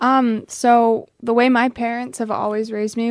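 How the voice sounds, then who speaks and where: A plain, everyday voice in an American accent, with fairly even intonation and a fairly slow pace. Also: woman. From US, Pennsylvania. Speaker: professional footballer. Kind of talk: casual interview. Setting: studio.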